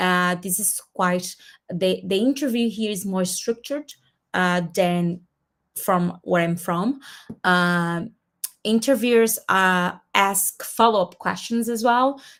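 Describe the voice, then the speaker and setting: Her pitch medium and her pitch variation ordinary, a woman speaks at a very slow pace. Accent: Portuguese. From Brazil. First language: Portuguese. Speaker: community host. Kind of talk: webinar presentation. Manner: halting, many fillers.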